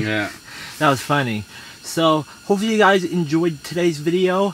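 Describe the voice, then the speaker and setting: With light background noise and a dry sound with no echo, a man speaks with lively intonation. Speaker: fishing vlogger. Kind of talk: casual vlog chat. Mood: upbeat, laughing. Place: tent. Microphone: camera far.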